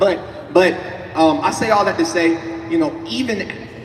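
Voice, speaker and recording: Animated in tone, a man with a high voice speaks at a fairly slow pace amid audible room echo and noticeable background noise. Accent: American. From Atlanta, US South. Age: 20s. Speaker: panelist, entrepreneur and content creator. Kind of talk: panel talk on stage. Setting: stage with audience.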